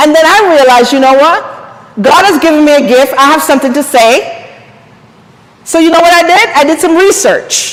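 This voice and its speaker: The voice moves along at a moderate pace with lively intonation and an animated tone. Noticeable background noise runs underneath. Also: woman. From Jamaica. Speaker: empowerment coach and speaker. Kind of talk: seminar talk.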